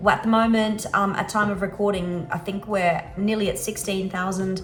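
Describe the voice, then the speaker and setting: A woman with an Australian accent is recorded with audible room echo and noticeable background noise. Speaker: travel vlogger and remote worker. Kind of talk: casual vlog talk to camera.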